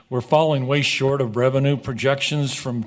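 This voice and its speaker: Male voice at a moderate pace with monotone, flat intonation. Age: 60s. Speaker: golf course business partner. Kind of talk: council meeting presentation. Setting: city council meeting.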